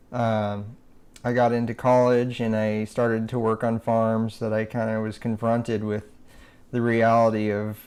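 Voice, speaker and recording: A soft-spoken voice with an American accent and monotone, flat intonation. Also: man. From Nebraska, USA. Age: young. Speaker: animal rights activist. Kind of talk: interview answer.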